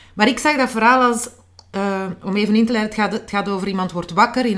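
Medium in pitch, a woman speaks with fairly even intonation. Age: 40s. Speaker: author. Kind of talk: interview. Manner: halting.

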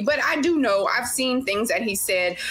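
A woman with a Louisiana accent talks at a fairly quick pace with lively intonation. There is audible room echo and noticeable background noise. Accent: Louisiana Southern US. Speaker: nurse and personal trainer. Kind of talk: casual chat.

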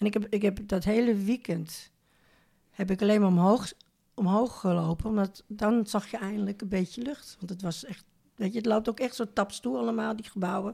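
A woman with a dark, mellow tone, somewhat breathy, talks at a moderate pace with ordinary pitch variation. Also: medium pitch for a woman. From Netherlands, Amsterdam. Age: 70s. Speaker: retired neighbour, grandmother. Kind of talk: casual interview. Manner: halting.

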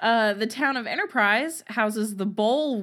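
Using a normal speaking voice, a woman talks at a moderate pace with ordinary pitch variation. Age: 20s. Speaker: true crime podcast co-host. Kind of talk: reading aloud trivia facts; casual chat.

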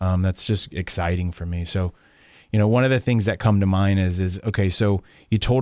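A man with an American accent speaks in a normal speaking voice at a fairly quick pace. His pitch is fairly low, and his intonation is fairly even. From Tampa Bay, Florida. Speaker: general contractor and real estate show host. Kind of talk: casual radio interview. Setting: radio studio.

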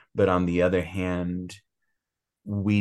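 Against a quiet background, a man speaks at a moderate pace in a very deep, low pitch. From US, Cuban-American family. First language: Spanish. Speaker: author. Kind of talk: interview. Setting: remote call. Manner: hesitant, many fillers.

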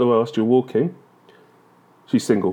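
A man talks with lively intonation and a dark, mellow tone. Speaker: podcaster. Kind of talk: comedic rant monologue. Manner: animated.

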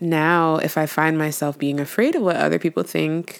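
A woman with a very deep, low voice is heard on a very clean recording with a silent background. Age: young. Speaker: podcast host and poet. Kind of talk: solo monologue.

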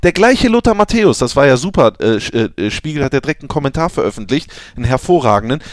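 A man talks very fast in a fairly high pitch. His pitch swings very widely, and the sound is dry and close with no echo. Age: 20s. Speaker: football podcast host. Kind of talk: casual chat.

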